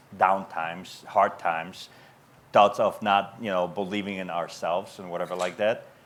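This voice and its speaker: A man's monotone, flat delivery with a non-native accent. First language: not English. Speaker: business owner. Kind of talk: panel Q&A. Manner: halting.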